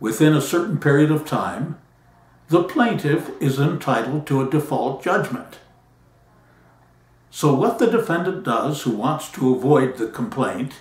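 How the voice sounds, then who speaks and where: Somewhat breathy and fairly high, a man's voice moves with lively intonation at a fairly slow pace, broken by long, frequent pauses. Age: 80s+. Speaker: patent attorney. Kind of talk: talk to camera.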